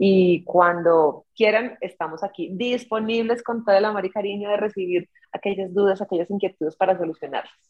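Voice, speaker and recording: A woman with a plain, everyday voice speaks at a medium pitch with ordinary pitch variation. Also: fairly quick pace. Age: 40s. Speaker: dentist and social media content creator. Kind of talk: casual interview.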